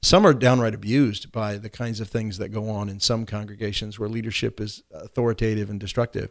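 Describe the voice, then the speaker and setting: Hardly pausing, a man with a plain, everyday voice speaks at a fairly quick pace with a fairly low pitch and fairly even intonation, in a very clean recording with a silent background. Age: 60s. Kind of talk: casual chat. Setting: studio.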